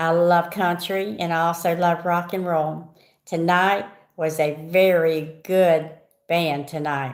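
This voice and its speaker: Someone speaks at a very slow pace with a Southern US accent and a monotone, flat intonation. The room echo is audible. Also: woman, fairly low pitch for a woman. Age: 60s. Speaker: vlogger. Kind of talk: casual chat. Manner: rambling, conversational.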